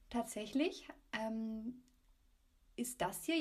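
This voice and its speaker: A woman's high voice with very wide pitch swings. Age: 20s. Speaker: student. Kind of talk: casual chat.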